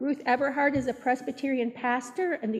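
Talking at a fairly quick pace, a woman uses a high pitch. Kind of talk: church announcements. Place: church.

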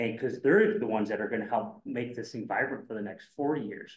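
At a fairly quick pace, a man talks with an American accent. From US Midwest. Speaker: former city official turned real estate developer. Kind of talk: panel discussion. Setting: stage with audience. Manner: repetitive, stumbling speech.

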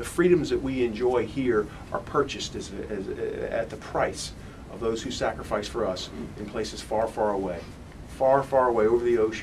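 Noticeable background noise runs through the clip. A man talks over it at a moderate pace. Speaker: congressman speaker. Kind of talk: rally speech. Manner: emphatic, repeats words.

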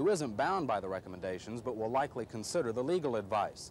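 Speaking at a very fast pace, a man is recorded with a dry sound with no echo and light background noise. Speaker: TV news reporter. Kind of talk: news report stand-up. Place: street.

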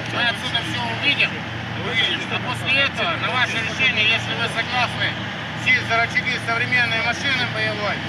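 Loud background noise runs under a man talking at a fairly quick pace. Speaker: army general. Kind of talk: formal address to a veteran. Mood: respectful, ceremonial. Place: open country.

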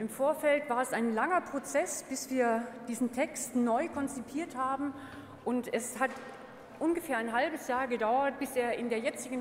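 A woman's high-pitched voice at a moderate pace, with audible room echo and light background noise. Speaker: party arbitration board member. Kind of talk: motion presentation. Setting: stage with audience. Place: hall. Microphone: podium.

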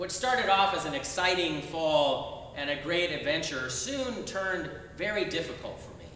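A man speaks with a high pitch amid light background noise. The room echo is audible. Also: moderate pace. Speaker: Episcopal bishop. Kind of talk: sermon. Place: church.

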